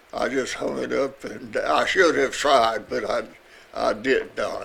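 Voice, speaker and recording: A man speaks at a fairly slow pace with a Southern US accent. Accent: Southern American. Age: 80s+. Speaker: retired firefighter. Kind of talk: interview answer.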